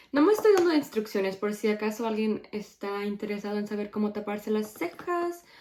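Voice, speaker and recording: A woman's fairly high-pitched voice moves along at a moderate pace. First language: English (speaking Spanish). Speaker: beauty YouTuber. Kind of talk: makeup tutorial chat. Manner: casual, self-correcting.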